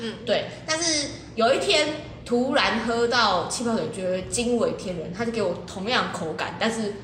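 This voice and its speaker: Fairly slow, animated speech with lively intonation, plus audible room echo and noticeable background noise. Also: woman. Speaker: podcast co-host. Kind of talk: casual chat. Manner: animated, laughing often.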